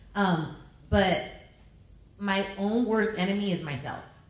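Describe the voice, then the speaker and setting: A woman's animated, medium-pitched voice with ordinary pitch variation, plus noticeable background noise and audible room echo. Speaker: radio personality. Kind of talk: panel discussion. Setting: stage with audience. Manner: loud.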